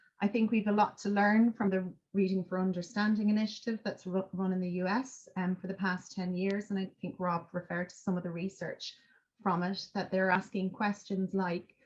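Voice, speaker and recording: A woman with an Irish accent speaks at a medium pitch and a moderate pace, her intonation monotone and flat and her voice somewhat breathy. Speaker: education researcher. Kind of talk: academic seminar talk. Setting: seminar. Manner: hesitant, many fillers.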